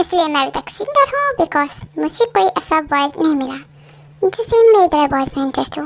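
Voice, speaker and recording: A woman puts on a squeaky character voice at an extremely high pitch. She speaks at a fairly quick pace. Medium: fan dub.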